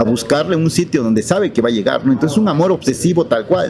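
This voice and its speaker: Noticeable background noise sits behind this man. His pitch is fairly high and his intonation lively. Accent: Oaxacan. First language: Zapotec (speaking Spanish). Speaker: writer. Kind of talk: interview. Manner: halting, with repetitions.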